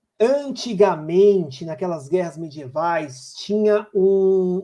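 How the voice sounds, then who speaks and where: A man talks in a dark, mellow tone. The pitch rises and falls in an ordinary way. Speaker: chess teacher. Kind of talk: online lesson for beginners. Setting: live stream. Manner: animated.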